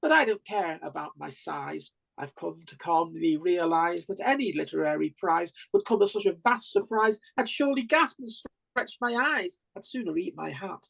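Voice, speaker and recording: Close and dry with no echo, a woman talks at a moderate pace with hardly any pauses. Her loudness swings a lot. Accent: Staffordshire. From Staffordshire, England. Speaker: open mic poet. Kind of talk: poetry reading.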